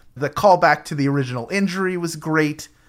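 With a plain, everyday voice, a man talks at a fairly quick pace and with ordinary pitch variation. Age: 40s. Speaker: podcast host. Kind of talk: casual chat.

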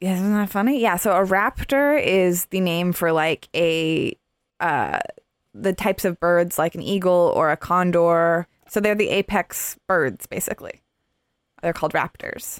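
An ordinary speaking voice from a woman, medium in pitch with ordinary pitch variation, at a fairly slow pace, dry and close with no echo. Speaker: podcast host. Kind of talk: casual chat.

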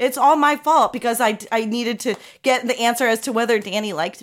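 A woman's high voice at a moderate pace, with lively intonation. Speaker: podcaster and comedian. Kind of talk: casual comedy chat. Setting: remote call from her office.

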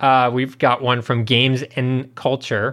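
An ordinary speaking voice from a man, medium in pitch, at a fairly slow pace. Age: 30s. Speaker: video game podcast co-host. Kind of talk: casual chat.

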